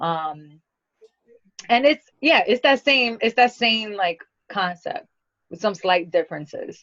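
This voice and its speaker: Her voice is fairly high-pitched, and the woman talks at a very slow pace. Very wide pitch swings come with long, frequent pauses. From New York (born in Brazil). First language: Portuguese. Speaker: singer-songwriter. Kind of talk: radio interview.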